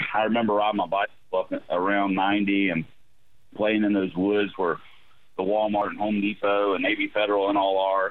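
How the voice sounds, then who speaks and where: The speech is monotone and flat, delivered at a moderate pace. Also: man, fairly low pitch for a man. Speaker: county commissioner. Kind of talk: radio interview about local politics. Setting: phone call.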